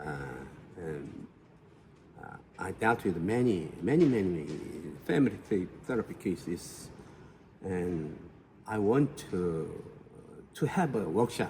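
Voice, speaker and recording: A man with a Korean accent, fairly low pitch, lively intonation, big swings in loudness, a fairly slow pace and long, frequent pauses. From South Korea. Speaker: family therapist. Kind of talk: interview. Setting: conference auditorium. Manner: halting.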